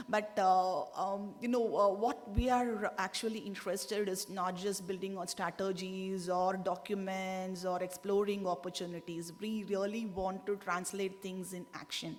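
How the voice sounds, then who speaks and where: A woman's medium-pitched voice at a fairly slow pace, flat and monotone, with hardly any pauses, audible room echo and noticeable background noise. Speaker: government delegate. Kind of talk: conference statement. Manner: halting, many fillers.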